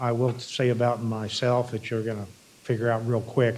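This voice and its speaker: There is audible echo in the room. A man of medium pitch talks at a moderate pace. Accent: American. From Iowa. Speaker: embalming fluid manufacturer representative. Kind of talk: industry presentation. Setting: stage with audience.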